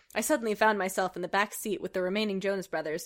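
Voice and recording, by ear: This is someone reading aloud in a natural voice. The intonation stays fairly even.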